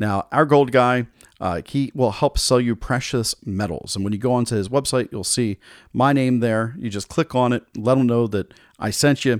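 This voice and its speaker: Enthusiastic in tone, a man talks at a moderate pace with medium pitch and ordinary pitch variation, recorded with a dry, close sound and no echo. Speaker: podcast host. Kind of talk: sales pitch. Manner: upbeat, salesy, persuasive; enthusiastic, direct-address.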